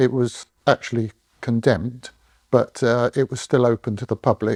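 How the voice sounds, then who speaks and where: A man's dark, mellow voice in a southern English accent, with fairly even intonation, a dry, close sound with no echo, and a quiet background. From southern England (London, Berkshire). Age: 70s. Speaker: retired engineer. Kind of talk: oral history interview. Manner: hesitant, many fillers.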